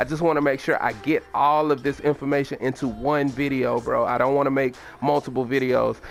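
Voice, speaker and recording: Monotone, flat intonation from a man at a fairly high pitch, with very even loudness and a fairly quick pace, over noticeable background noise. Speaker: gaming video creator. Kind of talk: gameplay tutorial. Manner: fast; casual, slangy.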